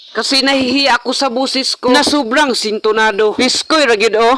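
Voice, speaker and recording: A man speaks in a raised, projected voice with fairly even intonation. Noticeable background noise runs underneath. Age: young. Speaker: vlogger. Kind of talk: casual vlog narration. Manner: playful.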